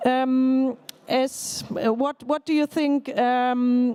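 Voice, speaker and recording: With a dry, close sound and no echo, a woman speaks in a high pitch and fairly even intonation over noticeable background noise. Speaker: politician, panel moderator. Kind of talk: panel moderation. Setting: conference pavilion. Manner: loud.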